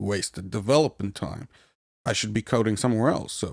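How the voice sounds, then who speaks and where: With a non-native accent and fairly even intonation, a man speaks at a fairly low pitch in a very clean recording with a silent background, the sound dry and close with no echo. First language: not English. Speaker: podcast host, software developer. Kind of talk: casual podcast talk.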